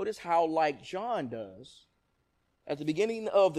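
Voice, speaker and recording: The recording is very clean, with a silent background. The speaker has an East Texas accent. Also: man. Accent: East Texas Southern US. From East Texas (Nacogdoches). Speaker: preacher. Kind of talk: sermon.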